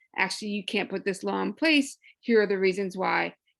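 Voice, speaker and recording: On a very clean recording with a silent background, a woman uses a normal speaking voice at a medium pitch with fairly even intonation. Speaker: abortion rights advocate. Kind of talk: panel discussion.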